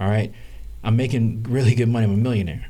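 Audible room echo surrounds a man whose fairly low voice has a dark, mellow tone and fairly even intonation. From US South. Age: 30s. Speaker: real estate investor. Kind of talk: interview. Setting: live stream.

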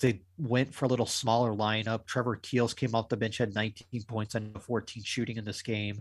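A man talks at a fairly quick pace with hardly any pauses, a medium pitch and monotone, flat intonation. His voice is somewhat breathy on a very clean recording with a silent background. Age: 40s. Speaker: sports podcast co-host. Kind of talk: casual chat.

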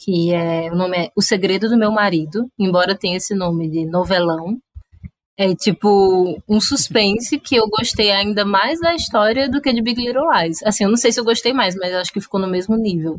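A woman with a strong Cariri accent speaks at a medium pitch with lively intonation. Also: moderate pace. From Cariri, Ceará, Brazil. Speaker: podcast guest, film fan. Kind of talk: casual chat.

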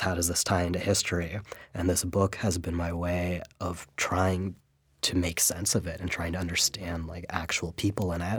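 A man with an American accent speaks at a very deep, low pitch, somewhat breathy. His intonation is monotone and flat, on a very clean recording with a silent background. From San Francisco Bay Area, US. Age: 20s. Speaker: writer. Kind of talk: interview. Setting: studio.

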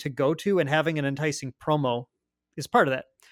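The speaker has an Upper Midwest accent and a fairly quick pace. The recording is very clean, with a silent background. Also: man. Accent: Upper Midwest American. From Fargo, North Dakota. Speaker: podcast host. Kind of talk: casual podcast discussion.

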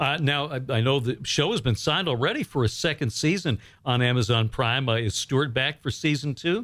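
With very even loudness and hardly any pauses, a man with an unremarkable speaking voice talks at a fairly quick pace and medium pitch, using ordinary pitch variation, in a very clean recording with a silent background. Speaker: radio and podcast host. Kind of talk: interview. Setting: studio.

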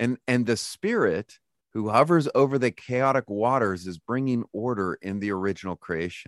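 A man with an American accent uses an ordinary speaking voice at a moderate pace with lively intonation, recorded with a dry, close sound with no echo over a quiet background. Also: medium pitch for a man. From California. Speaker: theology professor and author. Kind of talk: casual interview chat.

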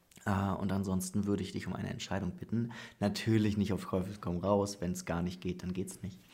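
At a fairly quick pace, a man speaks in a dark, mellow tone, fairly low in pitch and monotone, with flat intonation. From northern Germany. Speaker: podcast host. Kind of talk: casual interview. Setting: studio, face to face.

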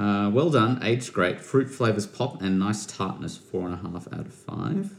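Fairly low-pitched male voice with an Australian accent, ordinary pitch variation and a moderate pace. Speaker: podcast host. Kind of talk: casual chat.

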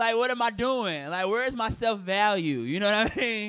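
A man with an American accent and lively intonation on a very clean recording with a silent background. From Detroit, Michigan. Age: 20s. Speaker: comedian. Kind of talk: casual chat. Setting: stage with audience.

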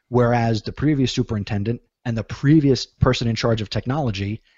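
With an unremarkable speaking voice and an American accent, a man at medium pitch talks at a fairly quick pace with fairly even intonation. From New Jersey. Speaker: teacher and ed-tech podcaster. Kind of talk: interview.

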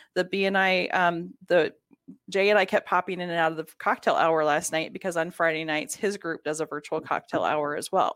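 A woman with a fairly low pitch speaks at a fairly quick pace and with fairly even intonation. The recording is very clean, with a silent background. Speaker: business networking guest. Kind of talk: casual interview. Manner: soft-spoken.

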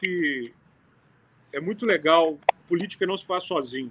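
The delivery from this man is fairly slow. Ordinary pitch variation runs through it. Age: 30s. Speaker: city councillor. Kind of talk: casual interview.

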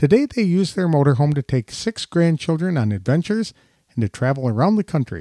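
Over a very clean recording with a silent background, a man speaks at a fairly quick pace in a fairly high pitch, with very wide pitch swings. His tone is dark and mellow, and the sound is dry and close with no echo. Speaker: podcast interviewer. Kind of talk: scripted intro and interview.

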